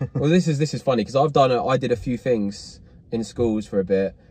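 In a dry sound with no echo, a man talks at a fairly quick pace with a dark, mellow, somewhat breathy tone. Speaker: show host in the driver seat. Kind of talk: casual interview chat. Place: car. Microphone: phone near.

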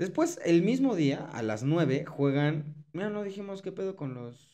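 A man with a dark, mellow tone talks at a fairly slow pace with hardly any pauses and lively intonation over a quiet background. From Mexico. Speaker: sports podcast co-host. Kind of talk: casual chat. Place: studio. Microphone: studio mic.

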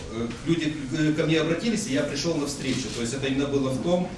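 Over clear background noise, a man speaks at a very fast pace with a fairly high pitch and ordinary pitch variation.

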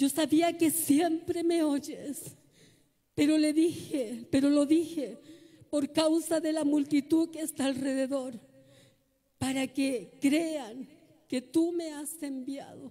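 Very slowly, a woman with a high pitch and a dark, mellow tone speaks with fairly even intonation. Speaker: preacher. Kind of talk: sermon, preacher in full flow, exhorting the congregation. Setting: church with congregation. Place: church. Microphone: handheld.

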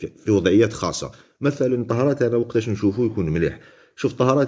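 A man with an Algerian accent speaks at a fairly quick pace, his medium-pitched voice dark and mellow with vocal fry. The background is quiet. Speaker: football pundit. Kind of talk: casual commentary monologue. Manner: halting, many fillers.

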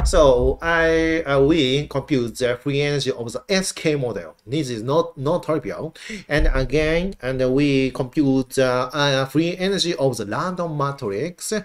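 This man talks very slowly, his fairly high pitch showing ordinary variation. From Japan. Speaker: university professor. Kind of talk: lecture. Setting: online live-streamed lecture. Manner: casual, filler-heavy.

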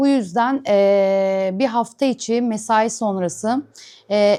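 A woman with a fairly high pitch and a dark, mellow tone is heard on a very clean recording with a silent background. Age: 30s. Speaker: vlogger. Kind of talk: personal vlog monologue. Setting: at home, sitting on the floor. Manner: hesitant, many filler sounds.

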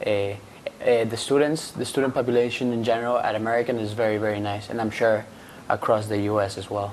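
A man with a Spanish accent at a fairly quick pace, monotone and flat in intonation, over light background noise. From Venezuela. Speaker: international student. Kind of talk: live panel discussion. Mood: relaxed, friendly. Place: studio. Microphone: lapel.

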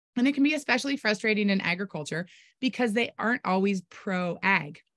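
Over a quiet background, a woman speaks with an American accent. She talks very fast with lively intonation. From California. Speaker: rancher and social media marketing presenter. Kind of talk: webinar presentation. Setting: video call. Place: home room. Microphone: webcam.

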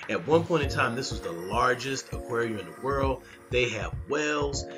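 Clear music plays in the background. A man is speaking over it. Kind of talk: casual vlog chat. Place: home room.

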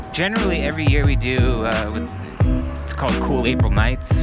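A man's voice over loud music in the background. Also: dry sound with no echo. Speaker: vlogger rider. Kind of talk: casual vlog chat. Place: motorbike. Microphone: camera far.

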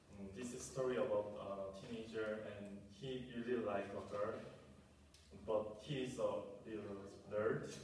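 Over light background noise and strong room echo, a man with a fairly low pitch talks at a fairly slow pace, his intonation fairly even. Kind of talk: performed monologue. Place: classroom. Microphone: camera far.

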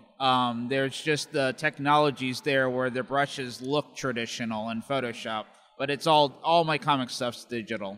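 With an ordinary speaking voice, a man talks at a moderate pace and medium pitch. His intonation stays fairly even against a quiet background. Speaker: comic book artist. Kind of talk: interview. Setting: comic convention. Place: hall. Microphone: handheld.

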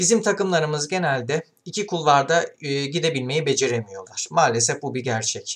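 A man's lively intonation at a moderate pace. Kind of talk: football commentary. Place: home room. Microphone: webcam.

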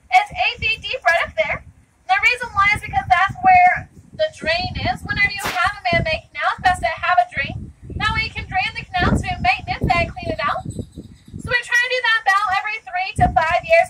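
Against light background noise, a woman uses a raised, projected voice at a fairly quick pace with ordinary pitch variation. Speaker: boat tour guide. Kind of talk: tour guide commentary. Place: boat.

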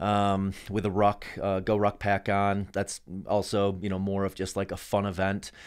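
A man's fairly low-pitched voice over a quiet background. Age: 40s. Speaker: endurance athlete and entrepreneur. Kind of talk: casual chat. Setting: studio. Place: studio. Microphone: studio mic.

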